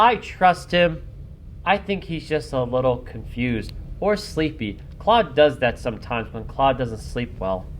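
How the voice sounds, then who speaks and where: Doing a put-on character voice, a man speaks shrilly at a moderate pace, with a medium pitch and very wide pitch swings. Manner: calm, reassuring.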